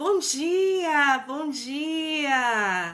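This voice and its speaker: Very clean and recorded against a silent background, a woman's voice carries a warm tone that is also bright and sharp. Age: 50s. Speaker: therapist and mentor. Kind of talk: live stream talk. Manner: warm, conversational.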